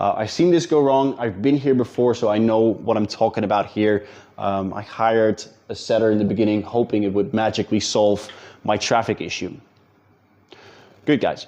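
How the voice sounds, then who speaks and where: Man with a Dutch accent, fairly low pitch, dark, mellow tone, moderate pace and ordinary pitch variation. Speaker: business coach. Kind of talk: talking-head tutorial. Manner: casual, with fillers and repetitions.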